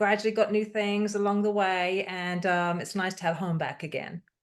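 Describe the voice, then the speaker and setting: With a British accent, a woman speaks at a moderate pace and medium pitch, fairly even in intonation, over a quiet background. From UK. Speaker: hurricane survivor. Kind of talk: testimony.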